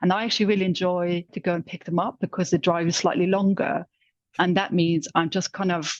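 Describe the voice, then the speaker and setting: Delivery comes at a fairly quick pace with a Luxembourgish accent. The sound is dry and close, with no echo. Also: woman, fairly low pitch for a woman, fairly even intonation. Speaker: corporate insights manager. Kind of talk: casual chat.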